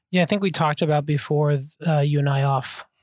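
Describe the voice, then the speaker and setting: In a very clean, dry, close recording with a silent background and no echo, a man speaks somewhat breathily at a moderate pace with fairly even intonation. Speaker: sleep physician podcast co-host. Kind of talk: casual interview chat.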